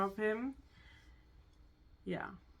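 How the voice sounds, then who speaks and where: Someone with a German accent speaks at a fairly slow pace. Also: woman. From Germany. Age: 20s. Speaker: hairdresser, co-host. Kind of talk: casual chat. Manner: halting.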